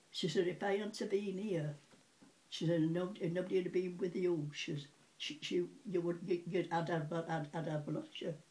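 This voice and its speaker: A woman talks at a moderate pace in a fairly low, somewhat breathy voice. Her tone is dark and mellow, and her intonation stays fairly even. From Sheffield, England. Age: 80s+. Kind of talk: interview answer.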